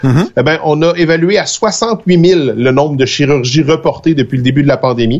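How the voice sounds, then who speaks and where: In a Quebec accent, a man talks at a moderate pace. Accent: Québécois French. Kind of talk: casual live show chat. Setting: video call.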